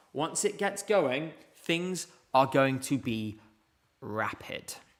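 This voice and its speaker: A man with a British accent, fairly high pitch and lively intonation, at a very slow pace. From UK. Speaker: streamer, music contest commentator. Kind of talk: live stream commentary and chat Q&A.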